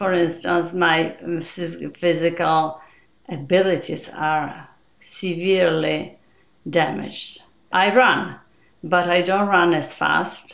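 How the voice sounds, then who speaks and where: A woman with a Polish accent talks at a very slow pace with long, frequent pauses. Her fairly low voice carries vocal fry and fairly even intonation. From Poland. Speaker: neuroscientist and memoir author. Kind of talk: interview.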